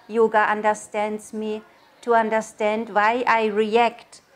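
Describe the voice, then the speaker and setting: In a German accent, the speaker talks at a fairly slow pace. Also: woman. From Germany. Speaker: yoga teacher. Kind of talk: interview monologue. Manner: halting.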